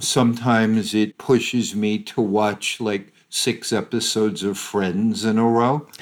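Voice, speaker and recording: Over a very clean recording with a silent background, a man uses a plain, everyday voice at medium pitch. He speaks at a fairly slow pace with hardly any pauses and fairly even intonation. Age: 60s. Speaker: forgiveness researcher and author. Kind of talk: interview.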